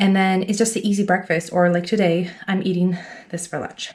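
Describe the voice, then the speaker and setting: This is a normal speaking voice. A woman talks at a fairly quick pace with a medium pitch. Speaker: stay-at-home mom vlogger. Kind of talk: casual vlog talk to camera. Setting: at home. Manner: chatty.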